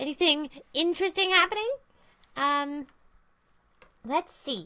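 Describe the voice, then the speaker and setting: A put-on character voice, female-sounding and high-pitched. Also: moderate pace. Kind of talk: casual livestream chat.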